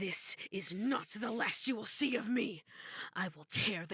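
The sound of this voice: An unforced reading voice. It is heard here.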